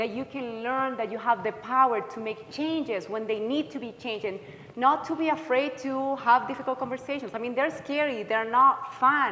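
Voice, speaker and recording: A woman with a high pitch speaks in a raised, projected voice at a moderate pace, with hardly any pauses and ordinary pitch variation, over noticeable background noise. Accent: slight Chilean. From Chile. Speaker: counselor. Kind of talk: workshop presentation.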